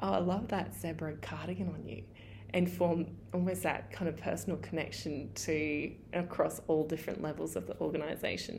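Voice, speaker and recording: A woman speaks in a very deep, low voice with vocal fry at a moderate pace. Her pitch swings very widely. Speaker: eco-business owner, listener. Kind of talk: listener story, recorded message.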